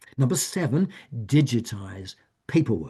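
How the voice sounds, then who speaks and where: A medium-pitched, somewhat breathy male voice with lively intonation at a moderate pace against a quiet background. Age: 70s. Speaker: author and retired professor giving a wellness talk. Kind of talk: talk. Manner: halting.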